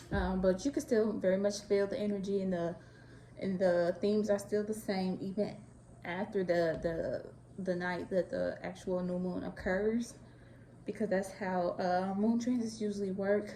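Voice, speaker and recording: With fairly even intonation, this woman talks in an American accent. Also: medium pitch for a woman, moderate pace. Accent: Chicago Southern. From Chicago. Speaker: astrology and tarot content creator. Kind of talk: casual talk to camera.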